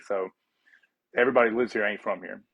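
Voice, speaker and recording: A man with a Southern US accent and a medium pitch. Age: 30s. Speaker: fitness coach and athlete. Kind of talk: casual chat. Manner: halting.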